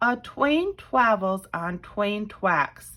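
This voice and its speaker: A squeaky, put-on character voice at a fairly high pitch. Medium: read story.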